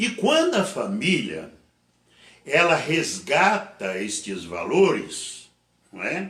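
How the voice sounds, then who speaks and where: A very slow male speaker with long, frequent pauses and audible room echo. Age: 70s. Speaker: pastor. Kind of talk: sermon. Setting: online church service.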